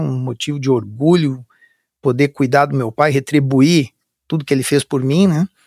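A man's fairly high voice at a moderate pace, with fairly even intonation and a dry, close sound free of echo. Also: very clean recording, silent background. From Brazil, Curitiba (Paraná). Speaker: army officer. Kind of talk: interview. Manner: halting.

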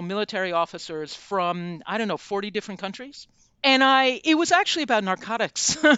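A woman with an American accent talks in an unremarkable speaking voice. Her pitch is medium, and her intonation is lively. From United States. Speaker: journalist and author. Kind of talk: interview.

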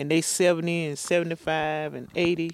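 On a very clean recording with a silent background, a woman in an eastern North Carolina accent speaks at a moderate pace, her fairly low pitch in monotone, flat intonation. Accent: eastern North Carolina Southern. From eastern North Carolina, Pender County. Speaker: retired hurricane survivor. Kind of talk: interview testimony.

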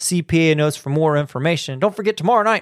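A man talks in an animated, playful tone, recorded very cleanly against a silent background with a dry, close sound and no echo. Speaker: school radio host. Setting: school PA system morning broadcast. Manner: animated, playful, cheery, teasing, punchy showman delivery.

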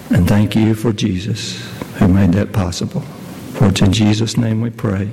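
The voice has a solemn tone at a fairly slow pace, with long, frequent pauses and ordinary pitch variation. Noticeable background noise is present. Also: man. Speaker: elder leading prayer. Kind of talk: fervent prayer at a funeral-style church service, heartfelt and pleading. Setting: church. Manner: earnest, halting, with repeated words and pauses; solemn, tender, emotional.

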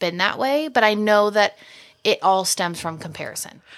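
Speaking at a moderate pace, a woman with an ordinary speaking voice has a medium pitch and ordinary pitch variation. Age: 20s. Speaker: podcast co-host and business owner. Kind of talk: casual chat.

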